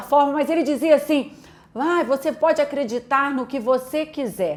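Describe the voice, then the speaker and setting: Speaking in a Minas Gerais accent, a woman with a high-pitched voice talks at a fairly slow pace. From Brazil, Minas Gerais (Belo Horizonte). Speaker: pastor. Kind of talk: testimony.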